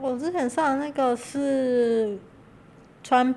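Very slowly, a woman speaks at a high pitch with a dark, mellow tone. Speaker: gravure model. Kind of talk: casual chat. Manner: soft-spoken.

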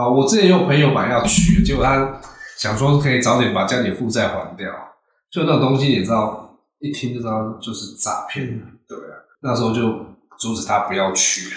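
A man with a medium-pitched voice talks at a fairly quick pace, with lively intonation. Long pauses come often, and room echo is audible. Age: middle-aged. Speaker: podcast host. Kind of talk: casual chat.

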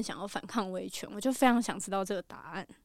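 A woman's very fast speech with ordinary pitch variation, in a very clean recording against a silent background. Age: late 20s. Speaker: TV program planner. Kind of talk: casual interview chat.

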